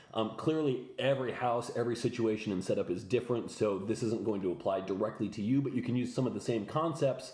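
A somewhat breathy man talks very fast with ordinary pitch variation, and audible room echo surrounds him. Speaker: fitness coach. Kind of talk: tutorial. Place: home room. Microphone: phone near.

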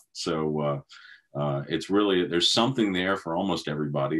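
Over a quiet background, a man with a Southern US accent talks at a fairly quick pace. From US South. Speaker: classic car auction specialist. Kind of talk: interview. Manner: hesitant, many fillers. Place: office. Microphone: video call.

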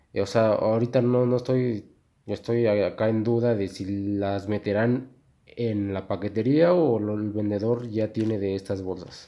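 In a Mexican accent, a man with a fairly low pitch talks fairly slowly with fairly even intonation. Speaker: YouTuber. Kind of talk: casual unboxing video. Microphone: low quality recording.

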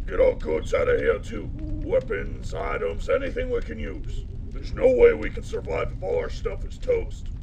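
Loud background noise sits under speech at a moderate pace. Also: man. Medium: fan dub. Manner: gruff, commanding.

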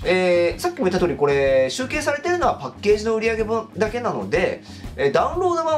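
A man's voice with music in the background. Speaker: game commentary creator. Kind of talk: commentary. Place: home room.

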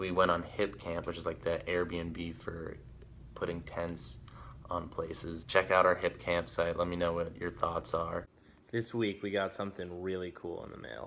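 Fairly slow and with little pitch movement, a man talks in a low pitch with a fairly bright tone.

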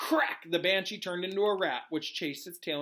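Plain reading aloud comes through with ordinary pitch variation.

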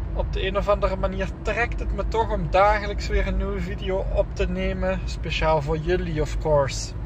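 A man talks at a moderate pace with hardly any pauses, his voice dry with no echo, over noticeable background noise. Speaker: fitness vlogger. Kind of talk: casual vlog chat. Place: car. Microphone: phone near.

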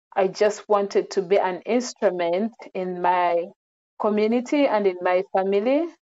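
A woman is speaking with a dark, mellow tone. Her pace is moderate. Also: ordinary pitch variation. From Uganda, Central Region; Uganda. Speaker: social worker; interview guest. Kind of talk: interview; interview answer. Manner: hesitant with fillers. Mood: calm, reflective. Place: home room. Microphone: earbuds.

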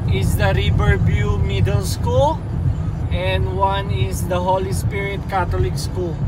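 A man speaks in a dry sound with no echo while music plays in the background. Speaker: vlogger, basketball camp facilitator. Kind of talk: casual vlog chat. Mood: relaxed, calm. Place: car. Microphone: phone near.

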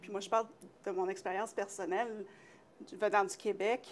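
A woman at a moderate pace, with light background noise. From Quebec. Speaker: TV talk show host. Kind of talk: casual interview. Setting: studio. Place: studio. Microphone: lapel.

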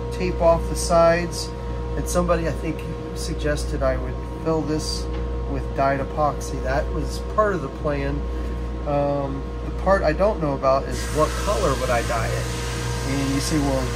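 A man speaks at a moderate pace, leaving long, frequent pauses. Music plays clearly in the background. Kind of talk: casual build vlog explanation. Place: workshop. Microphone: camera far.

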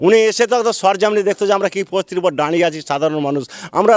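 In a dry, close recording with no echo, a man talks at a high pitch with ordinary pitch variation. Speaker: villager affected by river erosion. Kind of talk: news interview.

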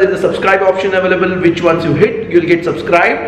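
A man's voice carries audible room echo. Light background noise sits underneath. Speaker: food vlogger. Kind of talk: casual vlog chat. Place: home room. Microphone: phone near.

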